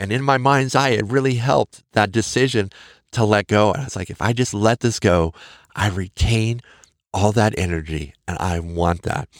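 Recorded very cleanly against a silent background, a man with an American accent talks in a fairly low voice with ordinary pitch variation and a dry, close sound with no echo. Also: moderate pace. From Montana, US. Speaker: podcast host. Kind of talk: encouraging monologue. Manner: animated, warm, encouraging.

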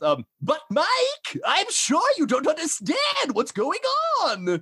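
The voice is a put-on character voice with a high pitch. It moves at a very slow pace.

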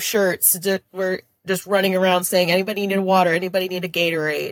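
A woman speaks in an Upper Midwest US accent at a moderate pace and medium pitch, with monotone, flat intonation. The recording is dry and close, with no echo. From Minnesota, US. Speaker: teacher. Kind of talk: casual interview.

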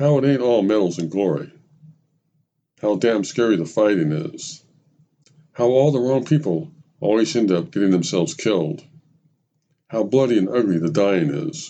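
With long, frequent pauses, a man speaks at a moderate pace in a dark, mellow tone, fairly low in pitch, with very wide pitch swings. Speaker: podcast narrator. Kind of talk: scripted narration of a personal anecdote, with quoted dialogue from an old veteran. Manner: measured, reflective storytelling.

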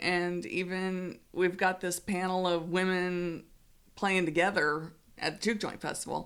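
A woman's normal speaking voice at medium pitch, delivered at a fairly slow pace. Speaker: interviewer, podcast host. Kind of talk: casual interview.

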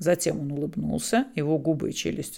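This woman speaks at a moderate pace in a very deep, low pitch with vocal fry. Her tone is dark and mellow, and her intonation is lively. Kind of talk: audiobook reading of a novel. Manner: measured, even narration, first-person storyteller.

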